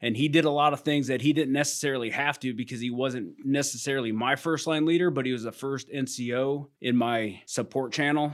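Speaking with an American accent, a man uses a medium pitch and fairly even intonation. He talks at a fairly quick pace with hardly any pauses. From US Midwest, Iowa. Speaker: army command sergeant major. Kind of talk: interview.

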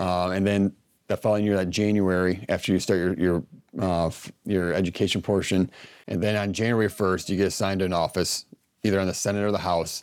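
A man with a very deep, low voice speaks in an American accent at a very fast pace. His intonation is monotone and flat, on a very clean recording with a silent background. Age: 30s. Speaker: army officer. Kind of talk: interview.

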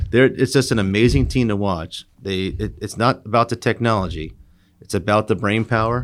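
A normal speaking voice with an American accent moves at a fairly quick pace with ordinary pitch variation on a very clean recording with a silent background. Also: man. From US Northeast, Long Island, New York. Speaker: air force wing commander. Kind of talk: interview. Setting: conference room.

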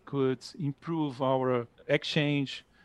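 The speaker has a Portuguese accent and a monotone, flat delivery. The sound is dry and close with no echo, against a quiet background. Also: man. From Brazil, Rio de Janeiro. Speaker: military officer. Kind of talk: interview.

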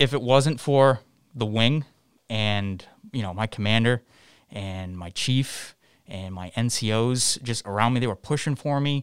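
The speaker is a man with a medium pitch. He goes at a moderate pace with ordinary pitch variation. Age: 20s. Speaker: junior airman, IT support. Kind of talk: interview. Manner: animated.

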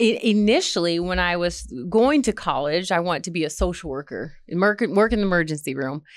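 With an American accent, a woman speaks at a fairly quick pace in a fairly low pitch with lively intonation, captured in a very clean recording with a silent background. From Michigan. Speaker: army social worker. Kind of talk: interview. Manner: halting.

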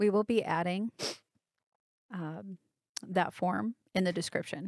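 Pausing long and often, a woman speaks fairly slowly at a medium pitch with ordinary pitch variation, the sound dry and close with no echo. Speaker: military podcast host. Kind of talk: podcast interview.

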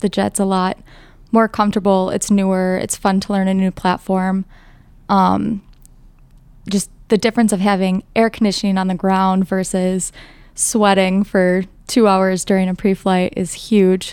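A woman with an American accent, an ordinary speaking voice, medium pitch and a moderate pace, on a very clean recording with a silent background. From northern Wisconsin, US. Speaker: air national guard boom operator. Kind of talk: interview.

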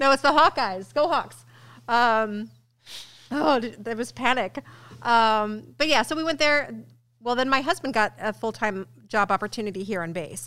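Over a silent background in a very clean recording, a woman with an American accent speaks at a moderate pace with long, frequent pauses, her fairly high, bright, sharp voice carrying lively intonation. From US Midwest, St. Louis area (Missouri). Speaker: military education and training manager. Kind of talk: interview. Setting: studio.

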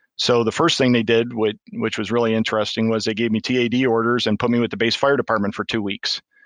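A man with a Michigan accent talks at a fairly quick pace in a medium pitch, with a monotone, flat intonation and very even loudness. The sound is dry and close with no echo, against a quiet background. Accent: Michigan, US Upper Midwest. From Michigan, US. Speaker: deputy fire chief, retired Marine. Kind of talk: casual interview.

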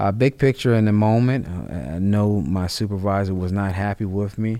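The man has a normal speaking voice, pitched fairly low. His pace is moderate and his pitch variation ordinary. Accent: American. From Ohio, Cleveland Heights. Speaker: military senior enlisted leader. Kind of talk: podcast interview. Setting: studio.

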